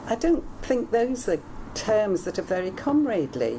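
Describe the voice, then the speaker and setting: A woman speaks over noticeable background noise, her pitch swinging very widely. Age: 70s. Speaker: party member interviewee. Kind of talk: interview. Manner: halting.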